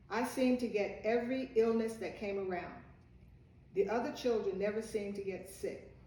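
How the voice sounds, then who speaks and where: Amid noticeable background noise and audible room echo, a woman with an American accent speaks with fairly even intonation. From Virginia, US South. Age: 80s+. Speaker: storyteller. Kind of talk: personal life story.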